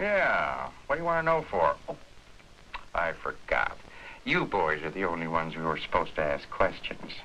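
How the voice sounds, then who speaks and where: A man talks at a moderate pace with light background noise behind him. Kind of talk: acted drama dialogue. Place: shop. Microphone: old recording.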